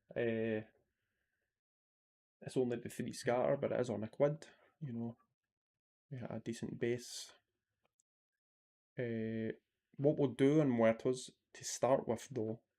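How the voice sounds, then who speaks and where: A man with a Scottish accent talks at a moderate pace, pausing often and at length. His tone is dark and mellow, his intonation fairly even. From Scotland. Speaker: slots streamer. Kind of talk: live stream commentary. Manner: casual, chatty.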